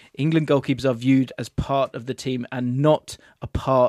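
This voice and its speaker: A man with a normal speaking voice talks at a moderate pace and medium pitch, recorded very cleanly against a silent background. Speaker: podcast host. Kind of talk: casual football chat.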